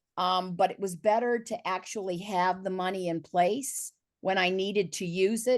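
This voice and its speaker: An ordinary speaking voice at a moderate pace, with fairly even intonation over a quiet background. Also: woman. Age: 60s. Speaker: panelist. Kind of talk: virtual panel discussion. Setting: video call.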